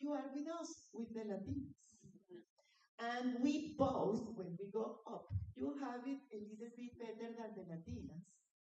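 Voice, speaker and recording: Her tone dark and mellow, a woman speaks at a fairly high pitch with vocal fry. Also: lively intonation, fairly slow pace. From Latin America. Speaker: conference speaker on women in industry. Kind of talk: conference presentation with slides. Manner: animated.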